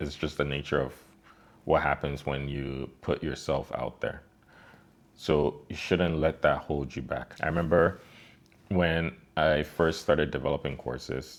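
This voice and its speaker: A man speaks with a very deep, low pitch and vocal fry. His pace is fairly slow. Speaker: online course creator. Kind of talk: motivational talk to camera. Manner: casual, conversational with fillers.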